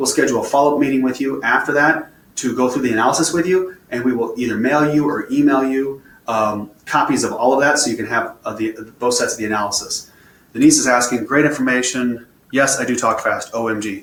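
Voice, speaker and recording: Noticeable background noise sits behind a man speaking at a fairly quick pace. His medium pitch shows ordinary pitch variation. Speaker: financial advisor. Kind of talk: webinar presentation. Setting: online webinar from computer. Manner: fast; animated.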